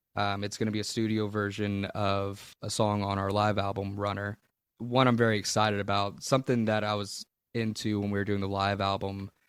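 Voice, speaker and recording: Fairly quick, monotone, flat delivery from a fairly low-pitched man with a Southern US accent, on a very clean recording with a silent background. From Louisiana, USA. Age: 20s. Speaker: blues-rock musician. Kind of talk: interview answer.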